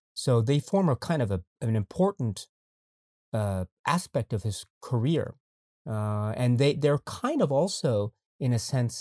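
A man's dark, mellow tone at a medium pitch and moderate pace, in a dry, close sound with no echo. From Japan, raised partly in New York. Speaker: YouTube film reviewer. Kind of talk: casual chat. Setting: video call. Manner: formal.

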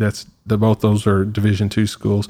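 Here is a man with an American accent. His voice sits fairly low and keeps a monotone, flat intonation. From Southeastern Oklahoma. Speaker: university athletic director. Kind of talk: interview.

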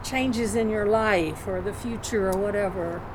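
Noticeable background noise runs through the clip. It is a woman who speaks. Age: 80s+. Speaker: guest, friend. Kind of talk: casual chat.

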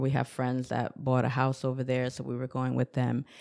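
A woman's very deep, low voice in a New York accent, flat and monotone, with a dark, mellow tone. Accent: New York American. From Newburgh, New York, US. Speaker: pharmacist and Zumba instructor. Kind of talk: interview.

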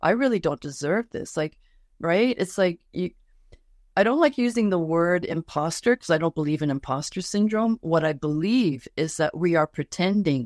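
Here is an ordinary speaking voice: a woman with a fairly low pitch and lively intonation at a moderate pace. The sound is dry and close with no echo over a quiet background. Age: 60s. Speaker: life coach. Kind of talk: interview. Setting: Instagram live.

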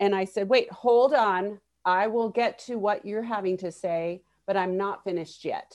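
A woman with an American accent and an unremarkable speaking voice talks at a moderate pace and medium pitch, with fairly even intonation. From Miami, Florida. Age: 30s. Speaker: psychotherapist. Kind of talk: casual chat.

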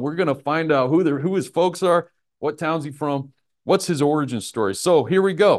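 A man speaks with an American accent in a plain, everyday voice. The background is quiet. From Nebraska, US Midwest. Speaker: Bible teacher. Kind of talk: Bible study lesson with prayer. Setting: live in a room with a group. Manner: casual, informal teaching.

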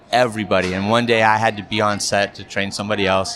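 Here is a man with a normal speaking voice at a medium pitch. He talks at a fairly quick pace. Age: 50s. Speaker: corporate and wedding videographer. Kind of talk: casual chat.

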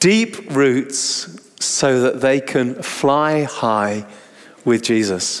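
A man at medium pitch speaks at a very slow pace. His intonation is lively.

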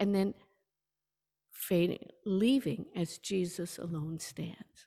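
A woman speaks very slowly with a fairly low pitch. Her pitch variation is ordinary. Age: 70s. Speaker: preacher. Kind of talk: sermon. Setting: church service, partly streamed online.

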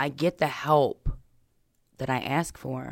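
A woman with an American accent speaks in a very deep, low pitch with vocal fry and a monotone, flat intonation, on a very clean recording with a silent background and a dry, close sound with no echo. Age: 30s. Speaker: person in addiction recovery. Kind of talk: personal testimony interview.

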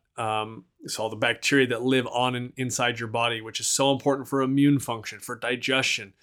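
A man's medium-pitched voice with an American accent, monotone and flat, at a fairly quick pace with hardly any pauses. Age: 40s. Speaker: podcast host. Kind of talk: casual solo talk on health studies. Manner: conversational, many fillers.

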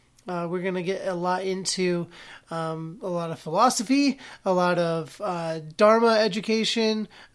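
Speaking at a moderate pace, a man with a high voice has a fairly bright, clear, smooth tone and fairly even intonation.

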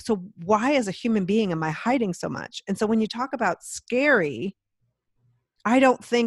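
A woman with an American accent speaks at a moderate pace in an unremarkable speaking voice, her intonation lively and the sound dry and close with no echo. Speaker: broadcast professional and podcast host. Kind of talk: casual interview chat. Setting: video call.

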